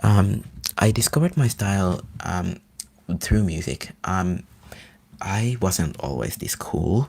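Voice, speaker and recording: A man with an American accent speaks at a very slow pace with long, frequent pauses. His intonation is lively. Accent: easily mistaken for American. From Finland. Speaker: ASMR livestreamer. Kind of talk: casual livestream chat. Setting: livestream. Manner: animated.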